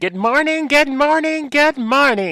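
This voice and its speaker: A man puts on a character voice. His pitch is extremely high. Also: fairly slow pace. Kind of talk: greeting, sing-song. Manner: overly exaggerated, chipper.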